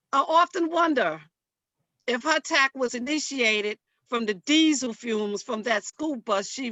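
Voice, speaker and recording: Using very wide pitch swings, a woman with a high voice and a New York accent speaks at a fairly slow pace. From Harlem, New York. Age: old. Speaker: church women's group member. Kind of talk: public hearing testimony.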